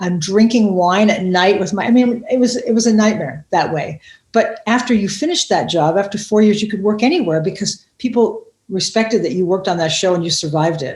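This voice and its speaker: Talking at a fairly quick pace, a woman with a medium pitch sounds somewhat breathy and uses lively intonation. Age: 60s. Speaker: comedian and TV writer. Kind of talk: interview. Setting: podcast. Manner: animated; halting.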